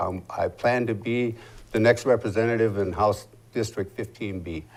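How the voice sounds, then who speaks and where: Recorded very cleanly over a silent background, a man talks at a moderate pace in an unremarkable speaking voice with ordinary pitch variation. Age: 60s. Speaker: political candidate, military veteran. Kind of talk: interview.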